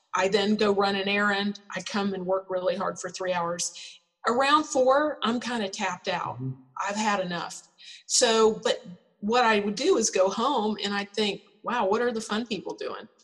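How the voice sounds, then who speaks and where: A woman with a plain, everyday voice speaks at a moderate pace, with medium pitch and ordinary pitch variation. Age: 50s. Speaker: spa business founder. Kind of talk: interview.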